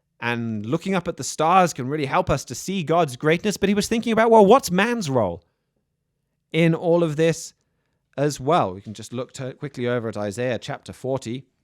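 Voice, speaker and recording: A man's fairly high voice with big swings in loudness, on a very clean recording with a silent background. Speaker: radio host. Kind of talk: radio talk with scripture commentary. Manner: fast; halting, many repeated words.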